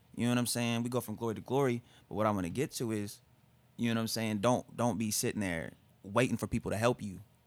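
A man with an American accent talks at a very fast pace with fairly even intonation. The recording is very clean, with a silent background. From Tulsa, Oklahoma. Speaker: hip-hop artist. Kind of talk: casual chat.

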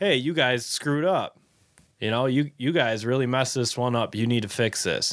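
An ordinary speaking voice from a man with an American accent, medium pitch, ordinary pitch variation, very even loudness and a moderate pace. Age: 20s. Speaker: fishing tackle retail worker and angler. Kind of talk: casual chat.

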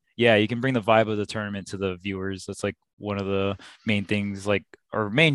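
A man's ordinary speaking voice, fairly low in pitch and fairly quick, with fairly even intonation, on a very clean recording with a silent background and a dry, close sound with no echo. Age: 30s. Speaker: esports coach and commentator. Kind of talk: casual chat.

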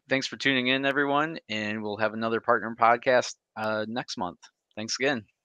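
A man's unremarkable speaking voice with an American accent, medium pitch, and ordinary pitch variation. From Michigan. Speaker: podcast host. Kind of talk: casual interview.

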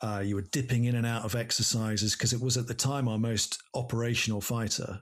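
Delivered with an English accent, the speech runs at a fairly quick pace with hardly any pauses, monotone, flat intonation and very even loudness. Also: man, medium pitch for a man. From England. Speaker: air force pilot. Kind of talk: interview.

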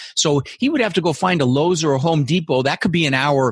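An energetic, somewhat breathy man talks at a very fast pace. The sound is dry and close with no echo, over a quiet background. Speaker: real estate investor and goal-setting coach. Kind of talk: interview.

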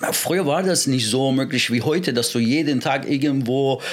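A man with a Persian accent speaks at a moderate pace and medium pitch, with ordinary pitch variation. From Iran, moved to Germany at 13. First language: Persian (speaking German). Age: 40s. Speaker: MMA and wrestling coach. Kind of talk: casual interview.

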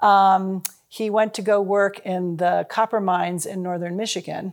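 Speaking in an American accent with an unremarkable speaking voice, a woman talks at a fairly slow pace in a medium pitch with ordinary pitch variation, on a very clean recording with a silent background. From US Midwest, Chicago and Cincinnati. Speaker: nonprofit founder. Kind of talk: interview.

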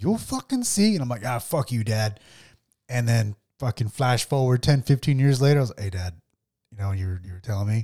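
This man has a dark, mellow tone that is somewhat breathy, speaking at a moderate pace. The sound is dry and close with no echo, on a very clean recording with a silent background. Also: medium pitch for a man, ordinary pitch variation. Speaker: podcast host. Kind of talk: casual banter podcast chat. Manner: casual, joking, profane.

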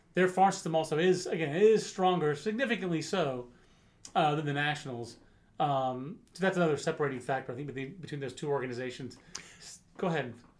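A man's normal speaking voice sits at a fairly high pitch and shows ordinary pitch variation. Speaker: baseball podcast host. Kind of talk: casual chat.

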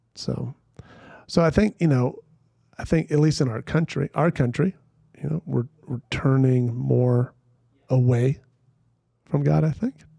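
A man speaks at a fairly slow pace in a dark, mellow, somewhat breathy voice with ordinary pitch variation and long, frequent pauses. The sound is dry and close, with no echo. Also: medium pitch for a man. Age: 50s. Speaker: Presbyterian pastor and speaker. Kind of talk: casual chat.

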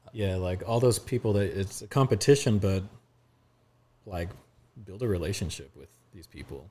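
A man with a fairly low pitch and a dark, mellow tone speaks in an American accent, somewhat breathy, with long, frequent pauses and big swings in loudness. The recording is very clean, with a silent background. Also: ordinary pitch variation, moderate pace. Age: 30s. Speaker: communications director and creative. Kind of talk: casual chat.

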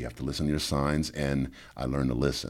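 This man speaks very fast in a New Orleans accent, his very deep, low voice carrying vocal fry. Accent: New Orleans Southern US. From US South, New Orleans. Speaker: life coach and former MMA fighter. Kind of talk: casual chat.

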